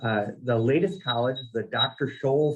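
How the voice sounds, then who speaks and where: A man speaks with a Minnesotan accent. His voice is fairly high in pitch and somewhat breathy. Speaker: nursing college dean, military veteran. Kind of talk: conference presentation. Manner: halting, self-repeating.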